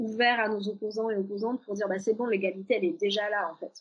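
A woman speaks in a normal speaking voice, fairly high in pitch with fairly even intonation. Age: 30s. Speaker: journalist and author. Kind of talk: casual interview chat.

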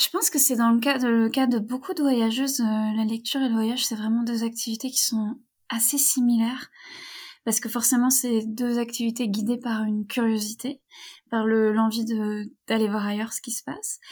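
A plain, everyday voice at a moderate pace with fairly even intonation, recorded very cleanly against a silent background. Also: woman, fairly high pitch for a woman. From western France (Brittany, near Rennes). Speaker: feminist author and traveler. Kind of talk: interview.

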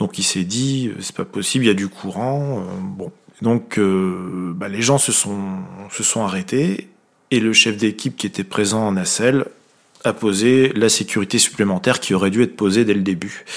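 At a fairly slow pace, a man with fairly low pitch speaks with ordinary pitch variation. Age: 40s. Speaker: railway maintenance team manager. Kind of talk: interview. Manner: hesitant, repeats words.

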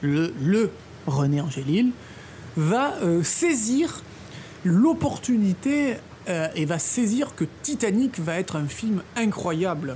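A woman speaks at a very slow pace with a medium pitch that moves in very wide swings. Noticeable background noise is present. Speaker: film podcast co-host. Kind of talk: scripted storytelling about film history.

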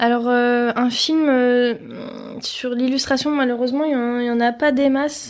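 Her pitch high and her intonation flat and monotone, a woman speaks at a fairly slow pace. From Paris, France. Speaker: illustrator. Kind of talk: interview. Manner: hesitant, many fillers.

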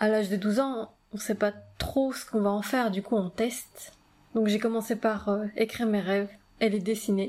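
A woman with an ordinary speaking voice and fairly even intonation. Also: fairly high pitch for a woman, moderate pace. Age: 30s. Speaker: podcast host, dream coach. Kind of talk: personal monologue.

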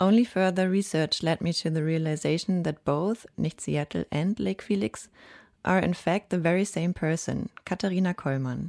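On a very clean recording with a silent background, a woman with an unremarkable speaking voice talks at a moderate pace, fairly low in pitch and with ordinary pitch variation. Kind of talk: radio DJ patter, introducing a track. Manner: chatty, conversational storytelling with light humor, clearly paced for radio.

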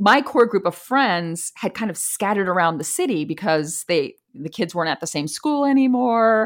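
The voice moves through very wide pitch swings with hardly any pauses. The recording is very clean, with a silent background. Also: woman, medium pitch for a woman, moderate pace. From US East Coast. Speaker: expat and career coach. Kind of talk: casual interview.

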